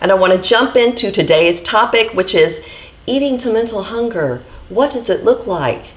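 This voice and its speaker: Noticeable background noise behind lively intonation and a moderate pace. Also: woman, fairly high pitch for a woman. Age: 40s. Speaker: vlogger sharing eating disorder recovery. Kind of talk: casual vlog talk to camera.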